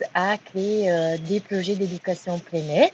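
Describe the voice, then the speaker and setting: A very slow-speaking woman over noticeable background noise. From Italy. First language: Italian (speaking French). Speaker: early-childhood training provider, course participant. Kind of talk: group self-introduction on video call. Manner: hesitant, many fillers.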